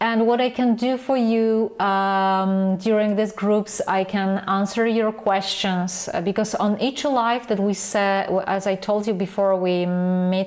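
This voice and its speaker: With a non-native accent, a woman talks at a fairly slow pace and medium pitch, her intonation fairly even, her loudness very even and her speech hardly broken by pauses. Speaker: photography mentor. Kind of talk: online class sales pitch. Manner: halting.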